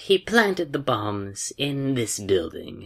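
A man puts on a character voice, slow and medium-pitched with big pitch swings, vocal fry and a slightly husky edge.

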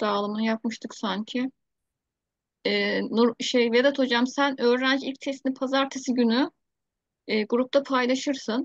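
A woman's high-pitched voice with fairly even intonation, a dry sound with no echo and a quiet background. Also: fairly slow pace. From Turkey. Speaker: teacher, project founder leading a video meeting; teacher. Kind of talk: online meeting, casual-formal chat. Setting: video call. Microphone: video call.

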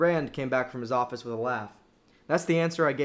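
Pitch varies in an ordinary way. The voice reads in an unforced manner.

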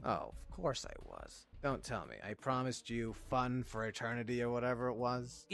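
Putting on a cartoonish character voice, a man speaks at a medium pitch and a moderate pace with hardly any pauses. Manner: mocking, contemptuous, smug; curt, commanding when silencing.

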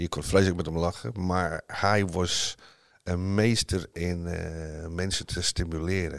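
Very slowly and with fairly even intonation, a man speaks in a very deep, low pitch on a very clean recording with a silent background. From northern England (Northumberland). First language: English (speaking Dutch). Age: 60s. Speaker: former footballer, golf teacher. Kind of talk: interview. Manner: hesitant, many fillers.

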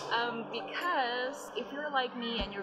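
A woman speaks at a fairly slow pace with fairly even intonation, clear music playing in the background. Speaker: lifestyle vlogger. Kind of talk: casual vlog chat. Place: station. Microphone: phone near.

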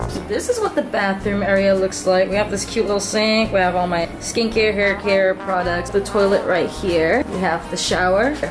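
Over clear background music, a woman talks at a moderate pace with fairly even intonation. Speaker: travel vlogger. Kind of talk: casual vlog chat. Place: home room. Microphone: phone near.

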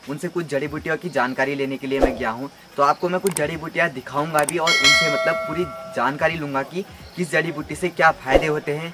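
Over music in the background, a man talks at a moderate pace. His pitch is fairly high, with ordinary pitch variation. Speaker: vlogger. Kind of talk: casual talk to camera.

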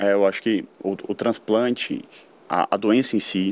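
A man speaks at a moderate pace with a fairly low pitch and ordinary pitch variation. The sound is dry with no echo. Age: 20s. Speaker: architect, leukemia survivor. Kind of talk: personal testimony. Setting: studio. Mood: reflective, warm. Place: studio. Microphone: studio mic.

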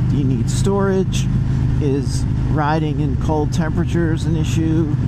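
Loud background noise, with a dry sound and no echo. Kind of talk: casual vlog chat. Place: motorbike.

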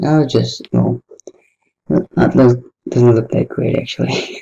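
The voice is quiet and moves at a very slow pace. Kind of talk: casual commentary while drawing. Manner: quiet, low-key, unenthusiastic.

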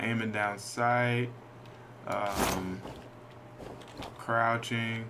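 A man's medium-pitched voice stays monotone and flat in intonation against noticeable background noise. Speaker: indie game developer. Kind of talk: casual gameplay commentary.

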